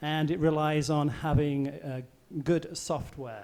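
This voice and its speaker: Here is a man with an English accent. He speaks at a fairly high pitch and a fairly slow pace. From England. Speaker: volcano seismologist. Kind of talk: public science talk. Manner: hesitant, many fillers.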